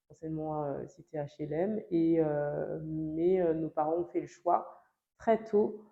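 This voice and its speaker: Her pitch fairly low, a woman talks with fairly even intonation. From France, Alsace (Strasbourg area). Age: 30s. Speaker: lawyer. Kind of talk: interview. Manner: hesitant, many fillers.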